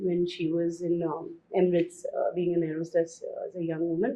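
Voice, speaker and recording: The speaker uses a Bombay accent and keeps a moderate pace. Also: woman. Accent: Western suburbs Bombay. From India, Mumbai western suburbs. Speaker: guest, former journalist. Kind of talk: interview conversation.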